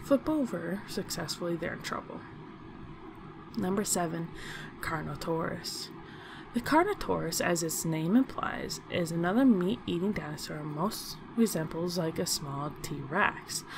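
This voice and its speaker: Over noticeable background noise, a soft-spoken woman talks at a fairly slow pace and fairly low pitch with lively intonation. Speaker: YouTube channel host. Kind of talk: casual narration of a ranked list to camera.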